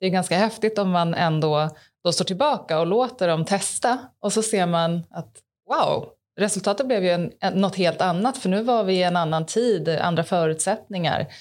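A woman with a plain, everyday voice speaks at medium pitch and a moderate pace, with ordinary pitch variation and very even loudness, on a very clean recording with a silent background. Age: 30s. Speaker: podcast host. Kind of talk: casual interview.

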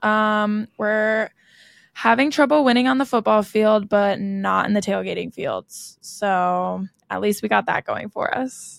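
A woman with a General American accent speaks in an ordinary speaking voice, fairly high in pitch, at a fairly slow pace with ordinary pitch variation. The recording is very clean with a silent background and a dry, close sound with no echo. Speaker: podcast host, college student. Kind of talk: casual chat.

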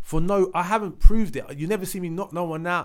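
At a moderate pace, a man with a London accent speaks in a fairly high pitch. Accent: London, multicultural London English. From East London (Leytonstone). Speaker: singer. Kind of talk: casual chat.

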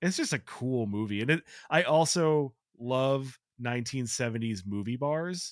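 In a plain, everyday voice with an American accent, a man talks at a moderate pace and medium pitch with ordinary pitch variation, on a very clean recording with a silent background. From Chicago, US Midwest. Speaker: writer. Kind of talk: casual chat.

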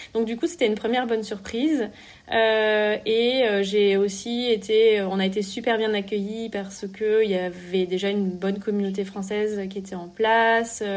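A woman talks at a fairly slow pace in a fairly high pitch with fairly even intonation. The background is quiet. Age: 30s. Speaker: entrepreneur. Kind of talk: interview. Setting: remote call. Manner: halting.

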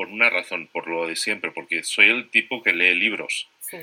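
A man speaks at a moderate pace. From Spain. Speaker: entrepreneur and podcaster. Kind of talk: interview.

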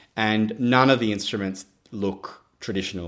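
A man speaks with an Australian accent at a moderate pace. His intonation is fairly even, and the recording is very clean with a silent background. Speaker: percussionist and artistic director. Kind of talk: interview.

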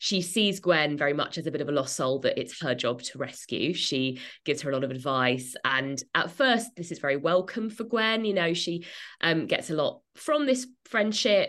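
A woman's fairly low voice with an English accent, very wide pitch swings and a moderate pace over a quiet background. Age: 30s. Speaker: author and journalist. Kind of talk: interview.

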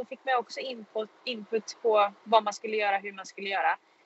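A woman with an unremarkable speaking voice, fairly high pitch and fairly quick pace. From Sweden, Karlstad (Värmland). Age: 20s. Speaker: racing driver. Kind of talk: casual interview. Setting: in a car.

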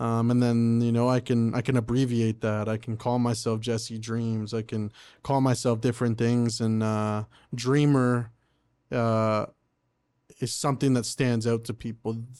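In an Ontario accent, a man speaks at a medium pitch with a dark, mellow tone and monotone, flat intonation. His fairly slow delivery comes through on a very clean recording with a silent background. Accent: Canadian English (Ontario). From Oshawa, Ontario, Canada. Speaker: rapper and singer-songwriter. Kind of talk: casual interview chat.

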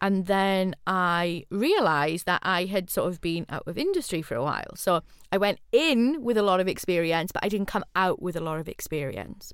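A woman with a South Wales Valleys accent speaks at medium pitch and a moderate pace, with ordinary pitch variation. She hardly pauses, and the recording is very clean with a silent background. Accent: Welsh (Valleys). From Wales, Rhondda. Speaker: podcast host, university lecturer, former gig promoter. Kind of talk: casual chat.

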